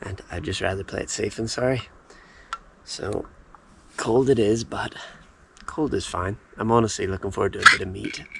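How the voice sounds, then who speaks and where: A quiet voice with big swings in loudness, ordinary pitch variation and long, frequent pauses comes through noticeable background noise. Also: man, medium pitch for a man, moderate pace. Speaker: travel vlogger, hiker. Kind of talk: vlog narration. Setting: outdoors. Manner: casual.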